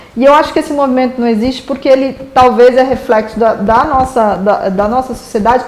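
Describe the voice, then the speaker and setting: Over noticeable background noise, a woman with a high pitch speaks in an animated tone at a fairly quick pace, with ordinary pitch variation and hardly any pauses. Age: 40s. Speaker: advertising executive. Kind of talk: casual interview chat.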